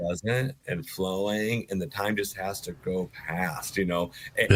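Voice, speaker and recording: A man speaking at a fairly slow pace amid noticeable background noise. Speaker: auctioneer.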